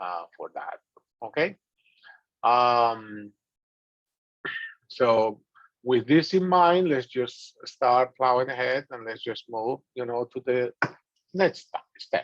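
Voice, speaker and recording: A man with a strong Dominican accent at medium pitch, with ordinary pitch variation, a fairly slow pace, and a dry, close sound with no echo. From Dominican Republic. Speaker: business instructor. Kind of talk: lecture.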